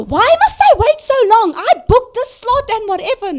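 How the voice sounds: An extremely high-pitched, put-on character voice moving at a moderate pace.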